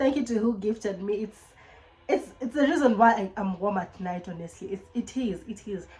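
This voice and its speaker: The woman has a Kenyan accent. Her tone is animated. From Kenya, Nairobi (Langata). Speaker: YouTuber. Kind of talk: casual vlog chat. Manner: fast.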